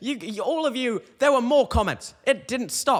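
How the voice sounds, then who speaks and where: This man has an extremely high pitch and a British accent. His tone is animated and his intonation lively. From UK. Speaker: comedian podcaster. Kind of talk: comedic rant reading comments. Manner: halting.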